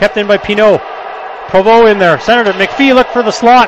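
A man talks at a high pitch and a fairly quick pace with ordinary pitch variation. The sound is dry with no echo, and there is noticeable background noise. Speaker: hockey play-by-play announcer. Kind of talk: live sports commentary. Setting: arena broadcast, game in progress. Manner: fast, clipped play-by-play; excitable on goals, rising pitch. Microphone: headset.

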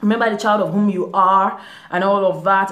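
A woman speaks at a fairly quick pace. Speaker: vlogger. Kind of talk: casual talk to camera. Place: home room. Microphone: phone near.

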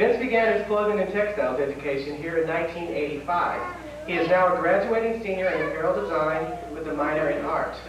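Speaking very fast, a man uses a high pitch with ordinary pitch variation. Audible room echo and noticeable background noise are present. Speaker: event host. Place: hall.

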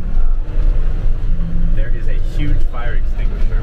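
A man is talking. Loud background noise fills the clip. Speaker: reseller vlogger. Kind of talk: casual vlog chat. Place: car. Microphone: camera far.

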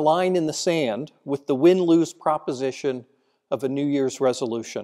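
Over a quiet background, a man speaks at a fairly high pitch, his dark, mellow tone solemn and his pitch variation ordinary. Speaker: priest giving homily. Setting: church. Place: church. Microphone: podium.

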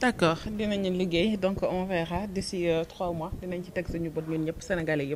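An ordinary speaking voice moves at a fairly quick pace with hardly any pauses and fairly even intonation. Light background noise sits behind it. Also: woman, fairly low pitch for a woman. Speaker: host. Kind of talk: casual interview chat. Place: studio.

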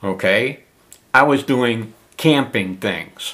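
A man's bright, sharp tone with lively intonation over a quiet background. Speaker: camping channel host. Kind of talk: casual vlog chat. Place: home room. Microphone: phone near.

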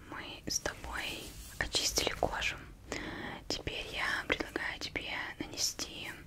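Whispering throughout. The pace is very slow. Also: woman. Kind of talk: soft-spoken roleplay talk. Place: home room. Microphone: studio mic.

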